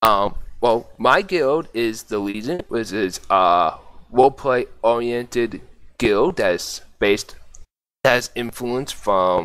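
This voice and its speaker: With a Boston accent, the speaker moves at a very slow pace with lively intonation on a very clean recording with a silent background. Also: man, medium pitch for a man. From US, Boston. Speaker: gaming guild leader. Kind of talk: podcast interview. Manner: halting.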